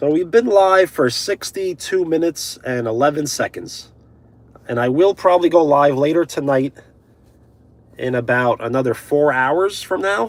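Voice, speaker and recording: Lively in intonation, a man with a fairly high pitch speaks in a dry, close sound with no echo. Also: moderate pace. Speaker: live streamer. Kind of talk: live stream chat reading comments. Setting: live stream on mobile data.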